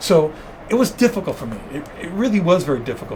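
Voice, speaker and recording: In a Spanish accent, a man talks at a fairly quick pace amid noticeable background noise and audible room echo. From New York, Cuban family. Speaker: zoo wildlife expert. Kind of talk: interview. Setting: podcast. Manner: animated.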